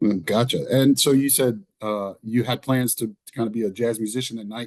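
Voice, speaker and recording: Speaking at a moderate pace with an East Texas accent, a man uses a medium-pitched voice and fairly even intonation. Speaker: podcast host, choral director. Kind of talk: podcast interview.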